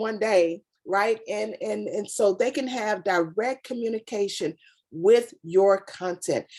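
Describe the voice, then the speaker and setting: A woman's animated tone at a fairly high pitch. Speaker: brand consultant giving a product demo. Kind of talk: sales pitch. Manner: fast.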